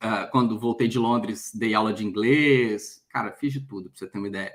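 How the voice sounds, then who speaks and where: Big swings in loudness mark this man's medium-pitched voice. He keeps a moderate pace and fairly even intonation. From Brazil, Minas Gerais (Belo Horizonte). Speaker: headhunter and career mentor. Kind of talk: interview on a live stream.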